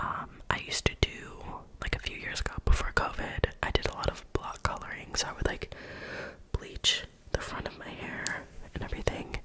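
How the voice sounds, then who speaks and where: Whispering at a moderate pace, a woman leaves long, frequent pauses, and her loudness swings widely. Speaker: ASMR creator. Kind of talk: casual talk to camera. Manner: whispered, soft-spoken. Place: home room. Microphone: studio mic.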